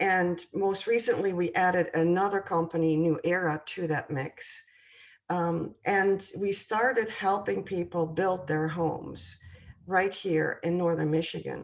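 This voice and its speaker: At a fairly slow pace, a woman with a European accent speaks at a fairly low pitch with ordinary pitch variation. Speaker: home construction sales representative. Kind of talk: presentation. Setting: video call. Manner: hesitant, many fillers.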